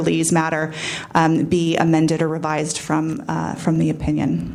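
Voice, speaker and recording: Noticeable background noise and audible echo from the room. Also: woman. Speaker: commission representative. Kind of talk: public testimony. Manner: fast.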